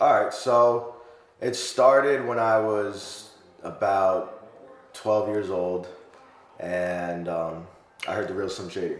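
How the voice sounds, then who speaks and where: In a room with audible echo and noticeable background noise, a man with a fairly low pitch and ordinary pitch variation speaks at a very slow pace with long, frequent pauses. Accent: American. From New York. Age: 30s. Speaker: rapper. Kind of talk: casual interview. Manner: hesitant, many fillers.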